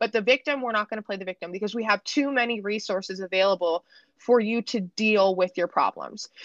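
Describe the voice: A woman speaks at a medium pitch with ordinary pitch variation and a fairly bright tone. The sound is dry and close, with no echo. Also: fairly quick pace.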